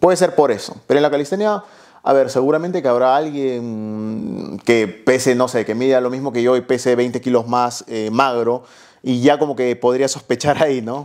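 Over a quiet background, a man speaks at a moderate pace. His pitch varies in an ordinary way. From Peru. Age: 20s. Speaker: fitness youtuber. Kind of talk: casual chat. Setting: host's home. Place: home room. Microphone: lapel.

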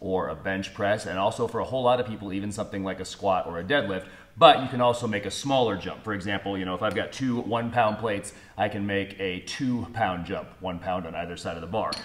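Speaking at a very fast pace, the man has a fairly low pitch and ordinary pitch variation. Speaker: strength coach. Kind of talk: tutorial. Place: gym. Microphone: camera far.

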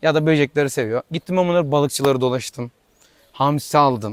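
The man talks at a moderate pace with ordinary pitch variation. The sound is dry and close, with no echo. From Tire, İzmir, Aegean Turkey. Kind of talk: interview answer.

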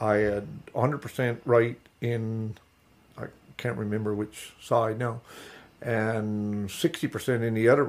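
A man with a Newfoundland accent speaks fairly slowly at medium pitch, with fairly even intonation and long, frequent pauses. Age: 60s. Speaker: fish harvester. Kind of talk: interview. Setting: at home.

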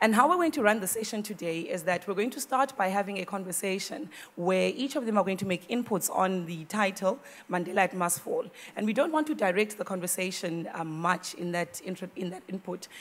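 This woman speaks at a fairly quick pace, her pitch varying in an ordinary way. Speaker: session moderator. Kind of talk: event introduction of speakers. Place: hall. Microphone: podium.

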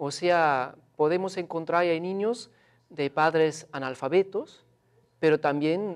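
The speech moves at a very slow pace with ordinary pitch variation over a quiet background. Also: man. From Switzerland. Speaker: researcher. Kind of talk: interview. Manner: halting, hesitant. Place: studio. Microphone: lapel.

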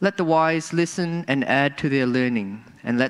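A man speaks in a plain, everyday voice at a moderate pace. His pitch varies in an ordinary way against a quiet background. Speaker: scripture reader. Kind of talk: reading aloud. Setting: church. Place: church. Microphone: podium.

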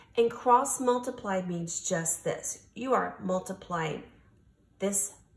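Amid audible room echo, a woman speaks very slowly at a fairly low pitch with ordinary pitch variation. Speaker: teacher. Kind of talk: tutorial. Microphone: phone near.

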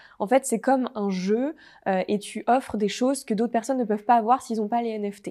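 Against a quiet background, a woman with a fairly high pitch and a dark, mellow tone speaks at a moderate pace with fairly even intonation. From French Alps (Haute-Savoie); French Alps. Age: 20s. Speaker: entrepreneur; interview guest. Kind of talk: interview. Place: studio. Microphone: lapel.

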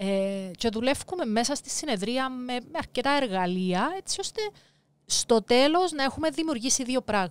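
A woman with a Cypriot accent speaks at a fairly slow pace in a high voice, her pitch swinging very widely. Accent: Cypriot Greek. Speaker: life coach and author. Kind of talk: interview.

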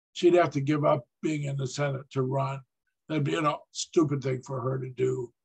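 Speaking at a moderate pace, a man with a fairly high, somewhat breathy voice keeps his intonation fairly even over a quiet background. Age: 70s. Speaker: political analyst. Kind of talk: lecture. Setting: stage with audience. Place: home room. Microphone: webcam.

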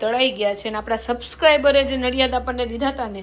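Noticeable background noise sits behind a woman speaking at fairly high pitch. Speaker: vlogger. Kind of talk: casual vlog narration. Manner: loud.

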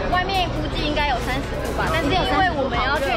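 A woman talking at a very fast pace over clear music in the background. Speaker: travel vlogger. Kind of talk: casual vlog chat. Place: station. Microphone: phone near.

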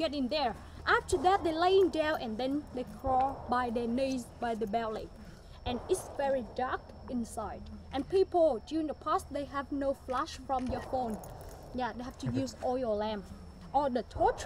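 Light background noise sits behind a woman talking at a fairly slow pace. Her pitch is high, and the sound is dry with no echo. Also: lively intonation. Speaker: tour guide. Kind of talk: guided tour explanation. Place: forest. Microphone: camera far.

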